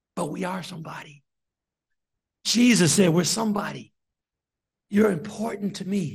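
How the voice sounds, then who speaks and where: With long, frequent pauses, a man speaks at a moderate pace in a high pitch, using ordinary pitch variation. Audible room echo surrounds his voice. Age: 60s. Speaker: deacon preacher. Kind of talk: sermon.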